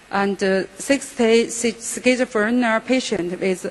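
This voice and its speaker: A woman talks at a very slow pace and a fairly high pitch. Noticeable background noise runs underneath. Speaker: psychiatrist. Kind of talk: conference lecture. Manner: halting.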